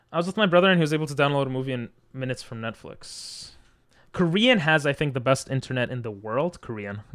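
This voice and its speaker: A man with an Israeli accent and a fairly high pitch talks at a very fast pace with big swings in loudness. The recording is very clean, with a silent background. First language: Hebrew. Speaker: streamer. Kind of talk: casual chat. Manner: casual, many fillers.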